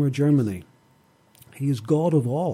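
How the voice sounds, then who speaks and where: A man's medium-pitched voice with a Northern Irish accent, a dark, mellow tone and ordinary pitch variation. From Northern Ireland. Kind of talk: radio interview. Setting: studio.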